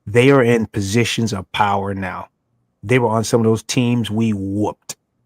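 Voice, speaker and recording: A man speaks at medium pitch in an animated tone and a fairly slow pace. The sound is dry and close, with no echo. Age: 60s. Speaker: former college football player, sports show guest. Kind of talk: casual sports talk show chat. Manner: animated, emphatic.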